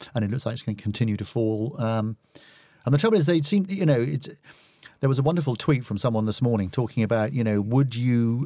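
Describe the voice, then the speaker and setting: Lively intonation marks this man's medium-pitched voice, which has a dark, mellow tone. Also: very clean recording, silent background. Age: 50s. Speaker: estate agency executive. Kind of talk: casual chat. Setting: studio.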